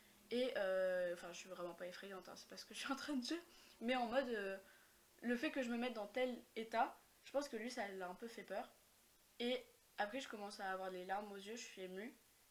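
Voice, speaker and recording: The speech runs at a fairly quick pace yet has long, frequent pauses, with ordinary pitch variation and big swings in loudness. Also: woman, fairly high pitch for a woman. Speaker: podcast guest. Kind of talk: casual chat.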